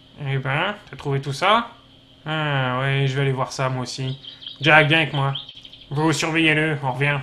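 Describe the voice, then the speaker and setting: Taking long, frequent pauses, a man does a put-on character voice at a moderate pace, fairly high in pitch with fairly even intonation. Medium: machinima. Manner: gruff, blunt.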